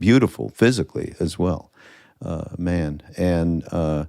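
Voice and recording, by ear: A man's low-pitched voice with vocal fry, slightly mellow tone and ordinary pitch variation, on a very clean recording with a silent background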